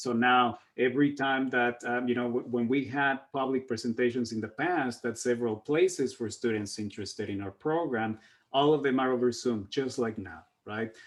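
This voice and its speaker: Speaking at a moderate pace with a non-native accent, a man has a medium pitch and fairly even intonation against a quiet background. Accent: non-native English speaker. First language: Spanish. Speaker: workforce program outreach staff. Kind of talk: panel discussion on video call. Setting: video call. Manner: halting, many fillers.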